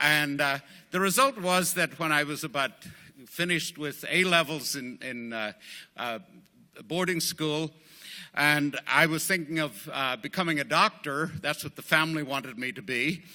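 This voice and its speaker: Someone with a Northern Irish accent speaks at a moderate pace with ordinary pitch variation on a very clean recording with a silent background. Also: man, fairly high pitch for a man. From Northern Ireland. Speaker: AA speaker, former priest. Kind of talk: recovery testimony talk. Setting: speaking at a group meeting. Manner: halting, many fillers.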